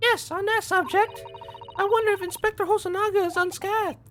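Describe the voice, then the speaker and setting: This man uses a squeaky, put-on character voice at an extremely high pitch and a fairly quick pace. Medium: game stream. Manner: formal, polite.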